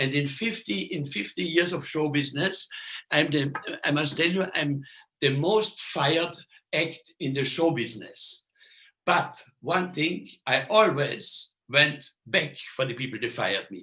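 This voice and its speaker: A man with a non-native accent, a fairly high voice, lively intonation and a fairly slow pace. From Austria. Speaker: magician. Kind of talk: lecture. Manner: halting.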